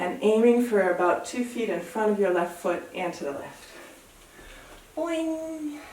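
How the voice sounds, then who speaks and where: The speaker has an American accent. Noticeable background noise and audible room echo fill the recording. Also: woman. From US. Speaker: yoga teacher. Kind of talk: guided yoga class. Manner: calm, relaxed.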